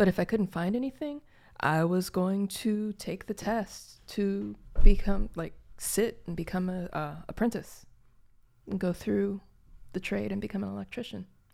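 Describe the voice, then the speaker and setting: In an American accent, the speaker uses a dark, mellow tone at a moderate pace with ordinary pitch variation, on a very clean recording with a silent background. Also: woman, medium pitch for a woman. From Gary, Indiana, US Midwest. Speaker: podcast co-host. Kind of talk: casual chat.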